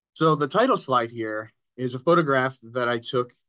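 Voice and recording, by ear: The tone is bright and sharp, and the pitch varies in an ordinary way. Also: man.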